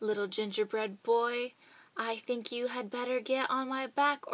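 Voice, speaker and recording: A woman uses a high-pitched put-on character voice at a moderate pace. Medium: read story. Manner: polite, smooth.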